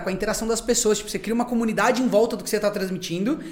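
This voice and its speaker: The talking races along at a very fast pace. Background noise is noticeable throughout. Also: man. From Brazil, interior town. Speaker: content creator, podcast guest. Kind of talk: casual chat.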